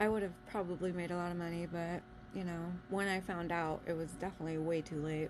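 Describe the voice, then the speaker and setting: This woman's voice is fairly low. She talks in a monotone, flat intonation. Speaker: vlogger sharing life story. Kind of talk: casual storytelling monologue. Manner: halting with many fillers.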